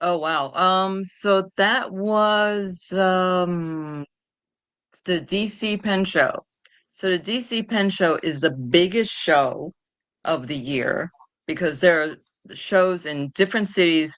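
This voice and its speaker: A woman with a New York accent, fairly low in pitch, at a very slow pace against a quiet background. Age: 60s. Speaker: patient advocate. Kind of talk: interview. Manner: halting.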